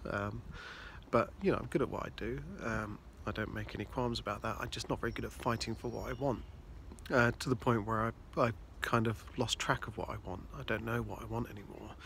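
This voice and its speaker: A man mumbles his words. He talks at a fairly quick pace. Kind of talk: casual talk to camera. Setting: outdoors. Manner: mumbling, hesitant.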